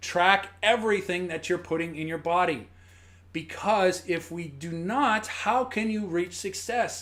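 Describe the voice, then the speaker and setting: A man with a high voice talks at a fairly slow pace. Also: ordinary pitch variation. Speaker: fitness coach. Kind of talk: live-stream tutorial. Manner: halting; casual.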